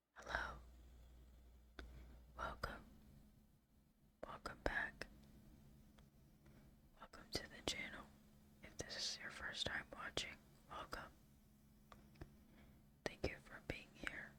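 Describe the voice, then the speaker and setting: Someone whispers in a calm tone at a very slow pace. Long pauses come often. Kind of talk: ASMR quiz host, soft-spoken trivia with gameplay commentary. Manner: soft, whispery, calm.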